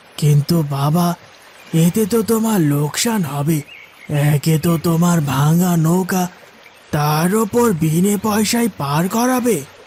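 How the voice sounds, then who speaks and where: A man's cartoonish character voice, high-pitched and at a fairly slow pace. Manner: gentle, fatherly.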